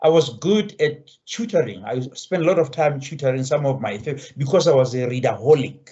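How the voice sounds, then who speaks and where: A somewhat breathy man, fairly high in pitch, at a moderate pace. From Lesotho. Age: 60s. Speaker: education professor. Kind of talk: interview conversation. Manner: halting, with repetitions.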